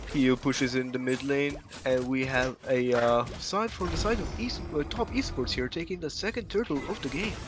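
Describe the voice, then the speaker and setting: The speech runs on with hardly any pauses while music plays in the background. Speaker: esports caster. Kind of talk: live commentary. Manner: fast; halting.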